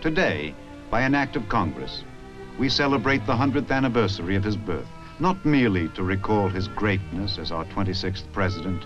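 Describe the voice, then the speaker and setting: Over music in the background, a voice speaks at a fairly quick pace with lively intonation. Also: man, fairly low pitch for a man. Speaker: narrator. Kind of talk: documentary narration.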